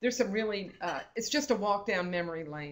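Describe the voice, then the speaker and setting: This is a woman speaking. She has a plain, everyday voice. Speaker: state librarian presenting a webinar. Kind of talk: webinar presentation with slides.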